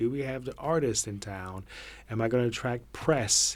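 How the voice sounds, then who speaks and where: A man with an ordinary speaking voice at medium pitch and a fairly quick pace, on a very clean recording with a silent background. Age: 40s. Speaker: theatre artistic director. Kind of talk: casual chat.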